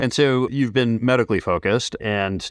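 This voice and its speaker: A man in an ordinary speaking voice speaks at a moderate pace with ordinary pitch variation, the sound dry and close with no echo on a very clean recording with a silent background. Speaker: podcast host and business coach. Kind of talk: casual interview chat. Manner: conversational, fillers like kinda.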